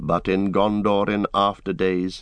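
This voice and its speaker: A man in a dramatic tone over a quiet background. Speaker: audiobook narrator. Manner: measured, dramatic, changing voices for characters.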